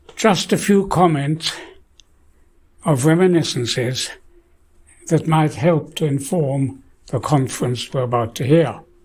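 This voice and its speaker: Somewhat breathy and fairly high-pitched, a man talks at a fairly slow pace with ordinary pitch variation and long, frequent pauses. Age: 80s+. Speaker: scientist. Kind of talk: lecture.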